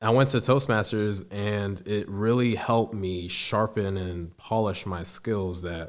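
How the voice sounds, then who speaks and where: Very slow speech with ordinary pitch variation on a very clean recording with a silent background. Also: man. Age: 20s. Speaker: air force service member. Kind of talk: interview.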